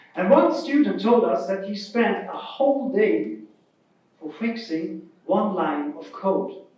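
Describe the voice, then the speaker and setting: There is audible room echo as a man with a German accent speaks in a high pitch. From Germany. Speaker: keynote speaker, open-source project vice president. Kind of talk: keynote speech.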